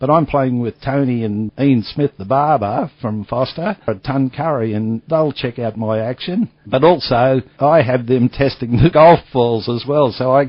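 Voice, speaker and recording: A man at a medium pitch, fairly slow with hardly any pauses and ordinary pitch variation. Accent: Australian. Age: 60s. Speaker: retired golf equipment businessman. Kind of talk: interview. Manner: casual, chatty.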